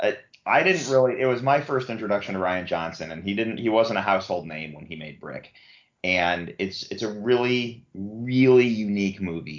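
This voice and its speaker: A moderate pace, ordinary pitch variation and an ordinary speaking voice. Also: man, fairly low pitch for a man. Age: 40s. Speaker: podcast host. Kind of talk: casual chat.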